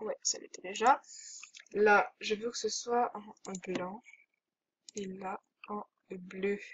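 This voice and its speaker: Somewhat breathy, a woman talks at a very slow pace with long, frequent pauses. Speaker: video game youtuber. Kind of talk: gameplay commentary. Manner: hesitant.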